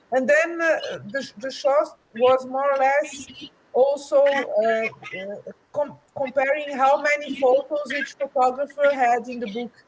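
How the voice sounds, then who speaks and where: A woman's high-pitched voice at a fairly slow pace with fairly even intonation. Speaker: book co-author and cave photographer. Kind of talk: interview answer at live book launch. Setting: online live stream. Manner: halting, many false starts.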